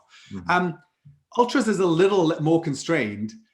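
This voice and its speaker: Speaking in a Welsh accent, a man has a high pitch and lively intonation. He talks at a fairly quick pace. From Wales. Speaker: startup CEO and ultramarathon runner. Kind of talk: podcast interview answer. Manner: casual, conversational.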